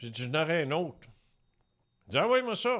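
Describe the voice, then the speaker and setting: A man with a Quebec accent, lively intonation and a moderate pace, in a very clean recording with a silent background. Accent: Québécois French. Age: 70s. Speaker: retired radio host and UFO author. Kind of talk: casual interview.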